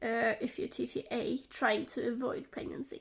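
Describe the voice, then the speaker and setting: High-pitched and very slow, a woman speaks in a very clean recording with a silent background. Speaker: vlogger. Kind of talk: personal vlog talk to camera. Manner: halting, with fillers. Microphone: close-up recording, sketchy quality.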